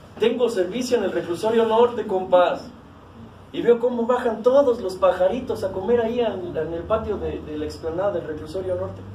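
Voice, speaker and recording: A man speaks in a high pitch at a moderate pace with an animated tone. Audible room echo and light background noise are present. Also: ordinary pitch variation. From Mexico. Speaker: recovering alcoholic sharing at AA meeting. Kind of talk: testimony. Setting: support group meeting room. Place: meeting room. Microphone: camera far.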